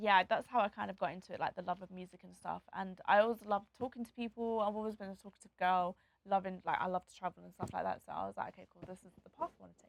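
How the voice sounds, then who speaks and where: Speaking very fast with hardly any pauses, a woman with a London accent holds a medium pitch while her loudness swings widely. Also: dry, close sound with no echo. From England, Nottingham and London. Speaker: DJ and content creator. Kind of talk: interview. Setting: studio. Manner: talkative, bubbly.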